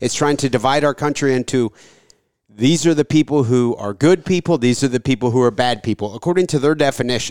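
An ordinary speaking voice from a man at medium pitch, fairly quick in pace with ordinary pitch variation, in a very clean recording with a silent background and a dry, close sound with no echo. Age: 30s. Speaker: podcast host and insurance broker. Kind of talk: casual interview.

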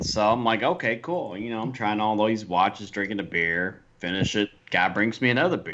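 The man talks at a moderate rate, his intonation lively, while noticeable noise sounds behind him. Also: fairly low pitch for a man, hardly any pauses. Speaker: podcast co-host. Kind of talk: casual chat.

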